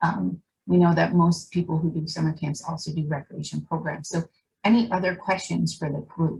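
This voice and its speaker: This woman's voice sits fairly low and carries vocal fry. She speaks at a moderate pace. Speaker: roundtable moderator. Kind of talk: online group discussion. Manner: mumbling.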